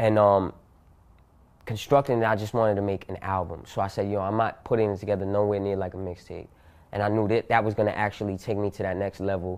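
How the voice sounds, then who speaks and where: Over a quiet background, a man with a New York accent speaks at a fairly quick pace, fairly low in pitch and flat, monotone in intonation. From Yonkers, New York. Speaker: rapper. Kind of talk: casual interview.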